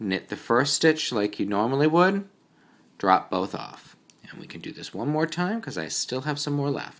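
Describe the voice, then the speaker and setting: In a New England accent, a man speaks at a moderate pace. His fairly high voice swings very widely in pitch. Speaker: knitting teacher. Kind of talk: tutorial. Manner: casual.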